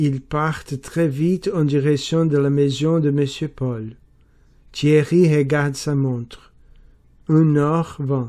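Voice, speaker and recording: In a very clean recording with a silent background, a man with a Portuguese accent speaks very slowly in a dark, mellow tone with fairly even intonation. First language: Portuguese (speaking French). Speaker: French learner. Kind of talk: reading aloud. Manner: careful, deliberate pronunciation.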